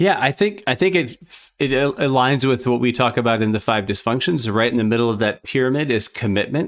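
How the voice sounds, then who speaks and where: With an American accent and a normal speaking voice, a man talks at a fairly quick pace and medium pitch, using lively intonation, very even loudness and hardly any pauses, on a very clean recording with a silent background. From Minnesota. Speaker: consultant and podcast co-host. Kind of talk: casual chat.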